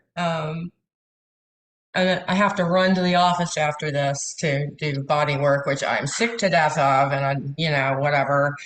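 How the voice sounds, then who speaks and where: Speaking at a fairly slow pace with ordinary pitch variation, a woman uses a very deep, low pitch, and audible echo fills the room. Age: 60s. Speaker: massage therapist and coach. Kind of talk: coaching session.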